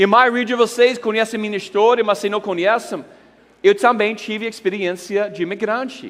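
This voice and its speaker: A man with an English accent at a moderate pace. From United States. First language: English (speaking Portuguese). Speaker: pastor. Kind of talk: conference talk. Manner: animated.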